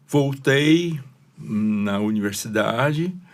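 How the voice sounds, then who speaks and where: The man's pitch swings very widely, and audible echo fills the room around him. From China (Shanghai). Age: 70s. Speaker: retired engineer and pastor. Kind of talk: interview.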